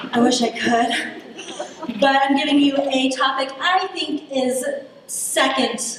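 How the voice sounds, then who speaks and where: Amid noticeable background noise and audible room echo, a woman talks at a very slow pace in a high voice with fairly even intonation. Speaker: political science lecturer. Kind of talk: lecture. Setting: stage with audience at a lectern.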